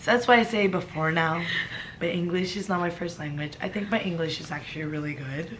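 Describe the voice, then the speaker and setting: Over noticeable background noise and audible room echo, a woman talks at a fairly quick pace in a fairly low voice with ordinary pitch variation. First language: not English. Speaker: friend of the vlogger. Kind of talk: casual chat. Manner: halting.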